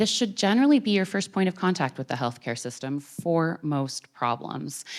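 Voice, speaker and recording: A woman with a Canadian accent speaks in a very deep, low pitch with very wide pitch swings, captured in a very clean recording against a silent background. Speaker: doctor. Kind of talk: public talk. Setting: theater with audience. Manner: fast.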